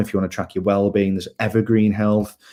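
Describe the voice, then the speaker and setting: Speaking with a Liverpool accent, a man has a fairly low voice with a dark, mellow tone. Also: very clean recording, silent background. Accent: Liverpool (Scouse). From northern England, Liverpool. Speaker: health tech startup co-founder. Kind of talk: pitch presentation.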